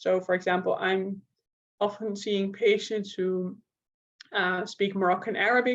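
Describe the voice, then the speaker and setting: A woman with a Dutch accent speaks at a fairly slow pace in a monotone, flat intonation, leaving long, frequent pauses. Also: medium pitch for a woman. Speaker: neuropsychologist and researcher. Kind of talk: lecture.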